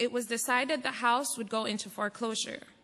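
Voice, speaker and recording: Against noticeable background noise, a woman speaks in a fairly high pitch at a moderate pace. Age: 30s. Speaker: airbnb host. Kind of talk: public testimony. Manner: reading a prepared statement.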